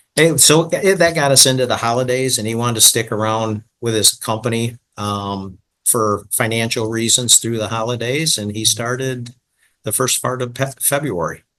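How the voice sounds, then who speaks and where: A man's bright, sharp voice with an American accent, medium pitch, ordinary pitch variation, moderate pace and a quiet background. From Michigan. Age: 60s. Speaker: franchise business owner. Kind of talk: podcast interview.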